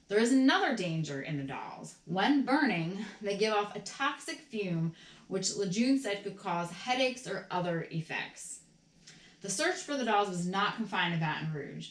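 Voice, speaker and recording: Noticeable noise sits behind the speaker. She is a woman whose pitch moves across a very wide range. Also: medium pitch for a woman, moderate pace. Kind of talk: ASMR reading of an old newspaper article. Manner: soft-spoken, calm.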